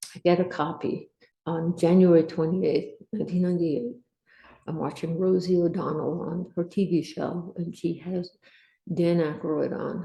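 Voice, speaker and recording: With an American accent, a woman speaks at a moderate pace in a fairly low, somewhat breathy voice. Her intonation stays flat and monotone. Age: 60s. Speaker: Air Force veteran. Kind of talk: testimony.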